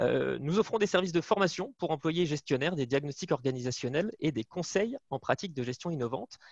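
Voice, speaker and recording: With a northern French accent, a man speaks at a fairly high pitch with lively intonation. His pace is fairly quick with hardly any pauses, and the sound is dry and close with no echo. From northern France. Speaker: management consultant. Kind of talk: webinar presentation. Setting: video call from home.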